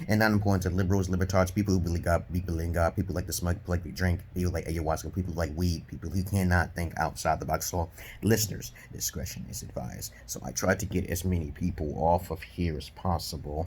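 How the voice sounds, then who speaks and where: In a New York accent, a man with a very deep, low voice and vocal fry speaks at a fairly quick pace with ordinary pitch variation. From Brooklyn, New York, USA. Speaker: dating advisor, self-styled counselor. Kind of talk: casual opinion talk to camera.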